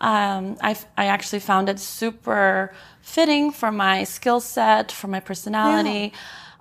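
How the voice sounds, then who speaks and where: At a moderate pace, a woman with an American accent uses a normal speaking voice, keeping a medium pitch with ordinary pitch variation. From Colorado, US. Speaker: real estate broker and former concert pianist. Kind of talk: interview. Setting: in person in Manhattan.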